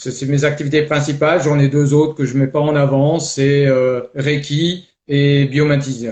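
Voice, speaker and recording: At a fairly slow pace, a man speaks with a fairly high pitch, a somewhat breathy voice and flat, monotone intonation. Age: 60s. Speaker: life coach. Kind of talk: testimony. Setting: live video stream. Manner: hesitant, many fillers.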